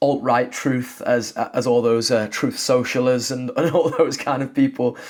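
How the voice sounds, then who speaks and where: A man with a British accent, medium pitch, fairly even intonation, and a fairly slow pace, over noticeable background noise. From Britain. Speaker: sports commentator and YouTuber. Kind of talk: opinion monologue to camera. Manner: casual with frequent fillers.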